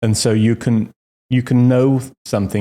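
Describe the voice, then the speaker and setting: A man speaks at a medium pitch in a dark, mellow tone with fairly even intonation. The recording is very clean, with a silent background. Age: 60s. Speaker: retired executive, fitness client. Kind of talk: interview testimony. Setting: podcast. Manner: halting, many repeats.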